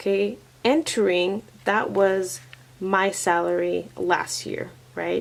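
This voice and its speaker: Against noticeable background noise, a woman talks quietly at a medium pitch. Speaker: teacher and vlogger. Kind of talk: casual vlog. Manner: quiet, lowered voice.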